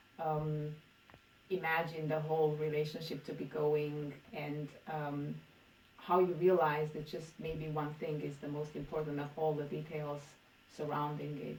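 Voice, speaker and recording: Pitched very deep and low, a woman speaks at a fairly slow pace in a monotone, flat intonation. Room echo is audible. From Romania. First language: Romanian. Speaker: poet. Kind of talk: interview. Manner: halting.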